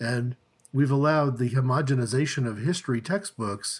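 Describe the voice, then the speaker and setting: A man's somewhat breathy voice, medium in pitch, at a moderate pace with ordinary pitch variation. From Oklahoma (Tulsa). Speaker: church leader and podcast co-host. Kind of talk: casual discussion. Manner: halting, many fillers.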